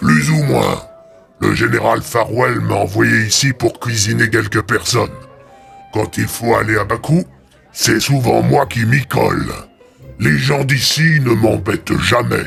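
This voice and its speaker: A man puts on a character voice at a medium pitch and a fairly slow pace. Faint music plays in the background. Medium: read story. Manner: calm, matter-of-fact.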